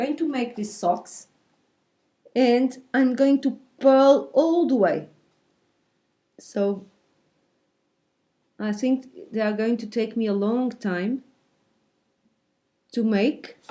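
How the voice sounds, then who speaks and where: A woman with a Portuguese accent speaks very slowly in a high, dark, mellow voice, leaving long, frequent pauses. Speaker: knitting videocaster. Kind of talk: tutorial. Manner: halting, with fillers.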